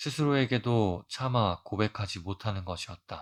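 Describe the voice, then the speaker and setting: On a very clean recording with a silent background and a dry, close sound with no echo, a man speaks at a fairly slow pace with fairly low pitch and ordinary pitch variation. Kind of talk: audiobook reading for sleep.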